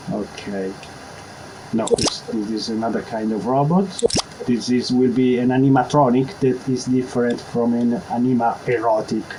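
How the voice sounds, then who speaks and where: A man with an Italian accent speaks at a moderate pace and medium pitch, with ordinary pitch variation. Noticeable background noise can be heard. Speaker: video game tutorial maker. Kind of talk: tutorial. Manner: halting.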